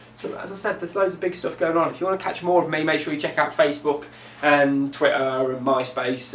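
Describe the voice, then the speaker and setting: Speaking with an English accent, a man uses a fairly high pitch. Audible room echo and noticeable background noise surround his voice. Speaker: DJ and record label promoter. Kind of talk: video update, promotional monologue. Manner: fast; enthusiastic.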